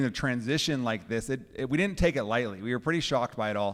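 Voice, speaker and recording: A man talks at a fairly quick pace in a normal speaking voice with a medium pitch and ordinary pitch variation. The recording is very clean, with a silent background. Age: young. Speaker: pastor. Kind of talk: casual chat.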